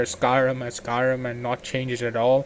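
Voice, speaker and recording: A man with a medium pitch speaks at a moderate pace. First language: not English. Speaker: gaming YouTuber. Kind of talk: game mod review. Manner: halting.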